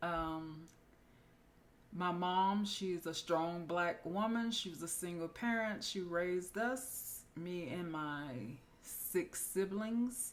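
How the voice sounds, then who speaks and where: Soft-spoken, a woman talks at a very slow pace with a fairly low pitch and ordinary pitch variation. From US South, Florida (Winter Haven). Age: 40s. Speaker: nurse practitioner and podcast host. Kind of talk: casual personal introduction monologue. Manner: quiet, soft-spoken.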